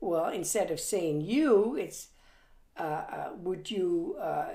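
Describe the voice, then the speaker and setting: Audible room echo surrounds this recording. A woman speaks at a very slow pace. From Germany. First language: German. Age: 80s+. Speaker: grandmother recounting her life. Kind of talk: family interview. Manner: halting, with many fillers.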